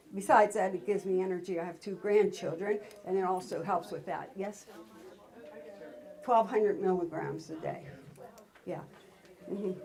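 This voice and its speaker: Over noticeable background noise, a woman with a medium-pitched voice speaks at a moderate pace, pausing long and often. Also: ordinary pitch variation. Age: 70s. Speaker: workshop guest giving health testimony. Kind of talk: testimony. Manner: halting.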